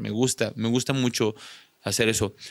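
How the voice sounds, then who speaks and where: Speaking with a Mexican accent, a man with a medium pitch talks at a fairly slow pace in a dry, close sound with no echo and a very clean recording with a silent background. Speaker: content creator and rock musician. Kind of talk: casual chat.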